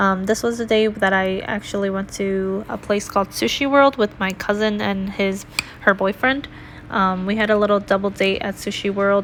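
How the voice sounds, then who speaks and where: Against noticeable background noise, a woman with a medium pitch talks at a moderate pace with fairly even intonation. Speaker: planner YouTuber. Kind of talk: casual voiceover narration. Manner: monotone.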